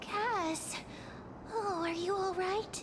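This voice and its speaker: This is a put-on character voice at an extremely high pitch. Loud background noise fills the recording. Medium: video game. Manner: casual, observant.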